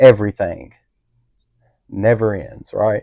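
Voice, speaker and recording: This man's voice has a dark, mellow tone and a fairly low pitch. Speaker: podcast co-host. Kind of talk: casual chat.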